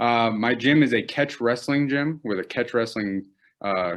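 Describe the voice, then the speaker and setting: A man talks fairly slowly, his pitch varying in an ordinary way, over a quiet background. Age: 20s. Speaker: amateur MMA fighter. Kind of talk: interview. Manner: hesitant, many fillers.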